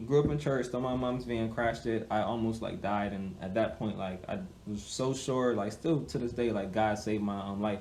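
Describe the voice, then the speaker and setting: A man with an American accent speaks at a moderate pace and medium pitch, with audible room echo and noticeable background noise. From Hartford, Connecticut, US. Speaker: musical artist. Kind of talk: interview.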